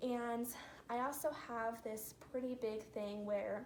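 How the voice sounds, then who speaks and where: Audible room echo surrounds a woman speaking. Her pitch is fairly high, and her intonation stays fairly even. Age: 20s. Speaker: reborn doll collector vlogger. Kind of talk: casual vlog talk. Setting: living room at home.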